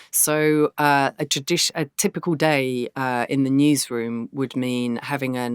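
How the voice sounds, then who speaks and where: A woman's very deep, low voice in an English accent, with fairly even intonation, dry and close with no echo, on a very clean recording with a silent background. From southeast England, Canterbury. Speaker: filmmaker and video journalist. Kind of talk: interview.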